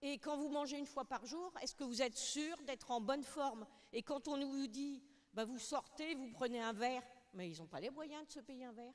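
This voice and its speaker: A high-pitched woman's voice at a moderate pace, with ordinary pitch variation and big swings in loudness. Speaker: audience member. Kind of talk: question from audience.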